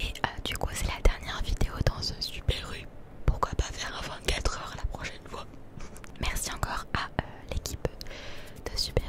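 Loud background noise accompanies a woman speaking at a moderate pace, the sound dry with no echo. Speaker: content creator. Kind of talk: casual vlog chat. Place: shop. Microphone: handheld.

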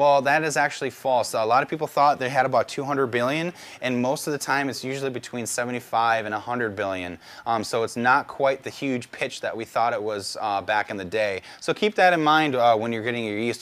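A normal speaking voice with an American accent moves at a fairly quick pace with ordinary pitch variation. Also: man. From US Midwest. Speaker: brewing instructor. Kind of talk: tutorial. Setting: outdoors. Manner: casual, relaxed. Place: garden.

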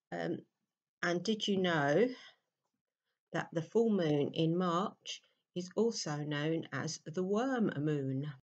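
The delivery is very slow, with long, frequent pauses and a calm tone. Intonation stays lively against a quiet background. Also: woman, fairly low pitch for a woman. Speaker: meditation teacher. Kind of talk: guided meditation. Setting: voice only, no background music. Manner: slow, calm. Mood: warm, chatty intro. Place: home room. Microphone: webcam.

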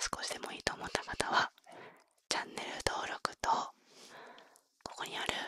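Soft-spoken whispering at a moderate pace, with a dry sound and no echo. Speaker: ASMR streamer. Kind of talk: casual outro chat to viewers. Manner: soft close-mic ASMR whisper. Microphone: studio mic.

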